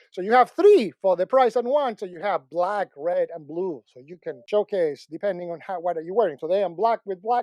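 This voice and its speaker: The voice has a dark, mellow tone and a Spanish accent, with very wide pitch swings. The sound is dry and close with no echo, and the background is quiet. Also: man. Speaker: tech product reviewer. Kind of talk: product review.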